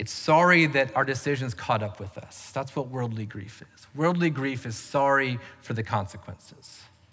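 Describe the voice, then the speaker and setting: A man's bright, sharp tone at a medium pitch, with moderate pace and ordinary pitch variation. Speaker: pastor. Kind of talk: sermon.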